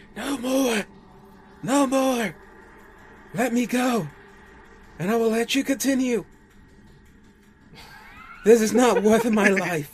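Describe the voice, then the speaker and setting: A man's shrill, put-on character voice at an extremely high pitch, fairly slow, with long, frequent pauses. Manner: screeching, pleading.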